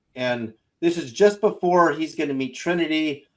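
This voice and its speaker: With lively intonation and a fairly slow pace, a man speaks in an unremarkable speaking voice. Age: 60s. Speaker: self-taught scientist and inventor. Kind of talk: panel discussion on a livestream show.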